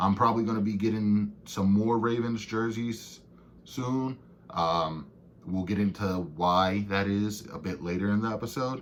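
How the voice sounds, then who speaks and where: A man with a fairly low pitch and an American accent, animated in tone, with ordinary pitch variation and audible room echo. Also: moderate pace. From Baltimore, Maryland. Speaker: sports podcast co-host. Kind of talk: casual solo podcast recap. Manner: casual, animated.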